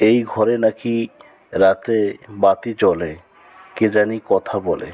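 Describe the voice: Slow and fairly low, a man speaks in a dark, mellow tone with ordinary pitch variation.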